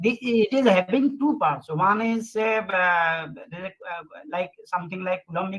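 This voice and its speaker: This man's voice is raised and projected, high-pitched, with a bright, sharp tone. He talks at a fairly slow pace with ordinary pitch variation. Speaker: session chair at physics conference. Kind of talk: conference Q&A session.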